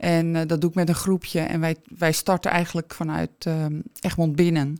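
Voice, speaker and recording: On a very clean recording with a silent background, a woman with a plain, everyday voice speaks at a fairly slow pace in a fairly low pitch. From Alkmaar, North Holland, Netherlands. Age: 50s. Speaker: shop owner, entrepreneur. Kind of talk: interview.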